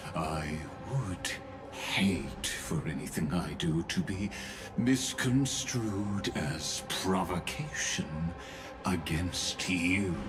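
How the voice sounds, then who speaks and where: Loud music plays behind a put-on character voice. The pace is very slow. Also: man, very deep, low pitch for a man. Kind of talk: game voice acting. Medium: virtual streamer. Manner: measured, formal.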